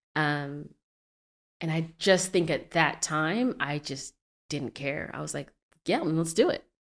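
In an American accent, a woman speaks at a very slow pace with a very deep, low pitch, ordinary pitch variation, and long, frequent pauses. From Arizona. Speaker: entrepreneur. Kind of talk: interview.

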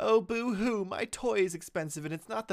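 A whiny, put-on character voice from a man at a moderate pace. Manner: mocking, whiny.

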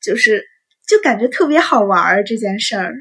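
With a quiet background behind her, a woman speaks at a moderate pace. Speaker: student podcaster. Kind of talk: casual monologue.

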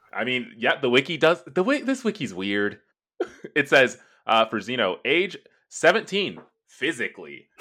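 With a bright, sharp tone and vocal fry, a man at a fairly high pitch speaks fairly slowly, swinging his pitch very widely and taking long, frequent pauses. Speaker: guest. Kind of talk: casual chat.

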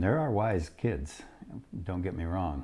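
A man with a very deep, low pitch and a dark, mellow tone talks at a fairly slow pace, sounding somewhat breathy. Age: old. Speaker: podcast co-host, grandfather. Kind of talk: casual chat. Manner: halting.

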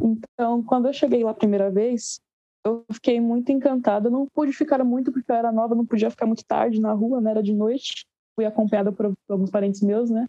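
An ordinary speaking voice from a woman, fairly high in pitch, with fairly even intonation and a fairly quick pace. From Guarulhos, São Paulo, Brazil. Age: 18. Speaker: musician, bassist and singer. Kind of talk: casual interview.

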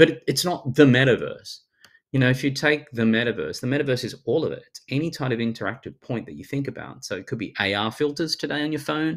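A man with a strong Australian accent talks at a very fast pace, his fairly high voice showing ordinary pitch variation. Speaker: futurist and speaker. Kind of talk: casual interview chat. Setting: video call. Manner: fast talker.

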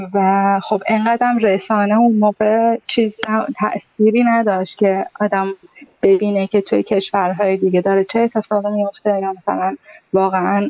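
In a plain, everyday voice, a woman of medium pitch speaks at a moderate pace with fairly even intonation and very even loudness. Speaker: former dance student. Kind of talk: personal storytelling.

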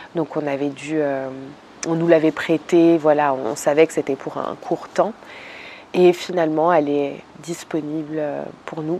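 A woman's very deep, low voice at a fairly slow pace, fairly even in intonation, with long, frequent pauses. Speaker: YouTuber, relaxation content creator. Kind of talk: casual vlog monologue. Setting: outdoors in a garden. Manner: hesitant, many fillers.

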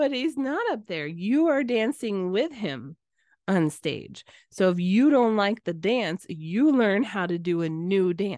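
Against a quiet background, a woman speaks fairly slowly at a medium pitch. Her pitch swings very widely, and the sound is dry and close with no echo. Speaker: marriage coach and podcast host. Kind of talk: solo podcast monologue. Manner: casual, laughs often.

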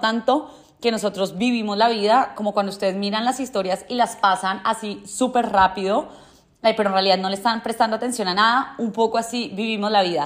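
Intonation remains fairly even. Words come at a fairly quick pace. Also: woman. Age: 20s. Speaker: podcast host. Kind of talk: personal monologue.

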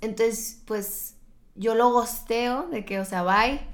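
At a fairly slow pace, the speech carries audible room echo. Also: woman. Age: 20s. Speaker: medical student. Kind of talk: casual chat.

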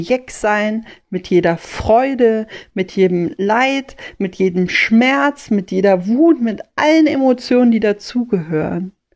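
A woman speaks at a very slow pace with lively intonation. Her pitch is fairly high. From Rhineland, Germany. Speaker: podcast host. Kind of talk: motivational monologue.

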